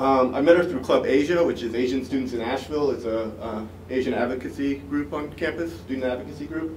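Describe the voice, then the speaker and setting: A man with an American accent talks at a very fast pace, his pitch medium and its variation ordinary. Noticeable background noise and audible room echo fill the recording. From Washington, D.C., US. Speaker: student presenter. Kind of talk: academic conference presentation.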